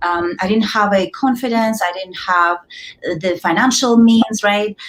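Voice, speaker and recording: A woman with a Russian accent, somewhat breathy, at medium pitch with ordinary variation and a moderate pace. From Kazakhstan. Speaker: entrepreneur and author. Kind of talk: interview.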